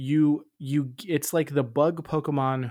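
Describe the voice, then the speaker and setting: A normal speaking voice from a man, medium in pitch, with ordinary pitch variation. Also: very clean recording, silent background. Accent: American. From Tampa, Florida. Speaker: podcast co-host. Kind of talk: casual chat.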